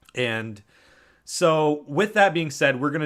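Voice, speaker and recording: Lively intonation marks this man's fairly slow delivery. The recording is very clean with a silent background. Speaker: podcast host. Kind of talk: casual chat. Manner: halting.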